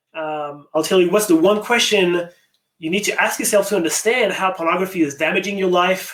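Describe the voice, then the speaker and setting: A man speaks with a slight French accent at a fairly quick pace. His pitch is high, with ordinary pitch variation. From France, near Paris. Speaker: addiction recovery coach. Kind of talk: webinar presentation. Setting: online webinar. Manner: fast; animated.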